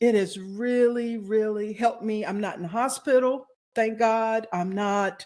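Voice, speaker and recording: With a normal speaking voice, a woman talks at a fairly slow pace, fairly high in pitch, with fairly even intonation. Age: 60s. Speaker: wellness consultant and author. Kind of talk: interview.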